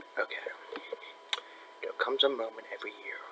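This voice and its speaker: Noticeable background noise sits behind a man whispering at a moderate pace. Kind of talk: casual article discussion read aloud to camera. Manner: soft-spoken.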